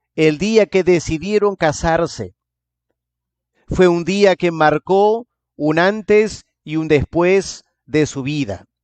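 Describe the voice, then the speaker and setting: Pausing long and often, a man speaks very slowly in a high pitch. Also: ordinary pitch variation. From England. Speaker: pastor. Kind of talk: sermon.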